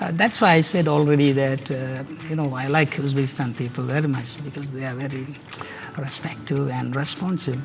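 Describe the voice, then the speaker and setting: Through music in the background and audible room echo, a man with a Sri Lankan accent speaks at a fairly high pitch and a fairly quick pace with fairly even intonation. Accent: Sri Lankan Tamil English. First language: Tamil. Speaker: doctoral student. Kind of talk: TV interview. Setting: TV studio, live broadcast. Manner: halting, many fillers.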